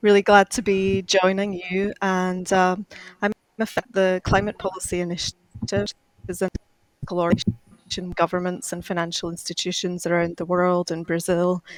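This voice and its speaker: A woman with a Glaswegian accent talks at a moderate pace and medium pitch, her intonation fairly even, in a dry, close sound with no echo. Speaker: climate finance expert. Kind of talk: panel discussion. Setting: video call.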